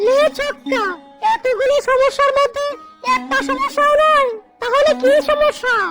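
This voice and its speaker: Someone speaks in a cartoonish character voice at a moderate pace. Faint music plays in the background. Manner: fast, polite hawker patter.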